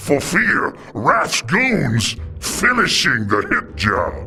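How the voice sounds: A man's put-on character voice, fairly high-pitched and bright and sharp, with vocal fry, very wide pitch swings, a very slow pace and faint music in the background.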